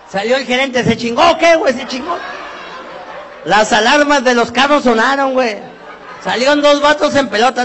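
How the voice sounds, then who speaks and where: A man talks with an extremely high pitch and an animated tone. Crowd noise fills the background, and the room echo is audible. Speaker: comedian. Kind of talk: stand-up.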